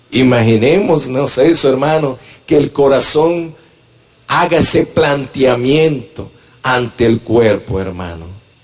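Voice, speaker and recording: Lively in intonation, a man speaks at a medium pitch and a very slow pace. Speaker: church elder and preacher. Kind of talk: sermon. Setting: church. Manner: animated.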